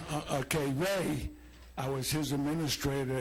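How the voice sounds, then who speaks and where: A man with a medium pitch talks at a moderate pace, his voice somewhat breathy. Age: 80s+. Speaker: retired teacher and school administrator. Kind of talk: public comment.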